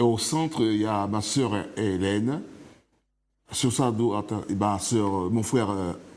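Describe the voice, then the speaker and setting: A man's fairly low voice at a very slow pace, with ordinary pitch variation, long, frequent pauses and audible room echo. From Martinique. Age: 60s. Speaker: author, interview guest. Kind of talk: TV interview. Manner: halting.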